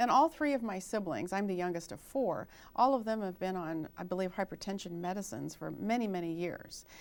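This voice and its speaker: A woman's normal speaking voice at medium pitch and a fairly quick pace, on a very clean recording with a silent background. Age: 60s. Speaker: registered nurse and author. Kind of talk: health interview. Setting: TV studio.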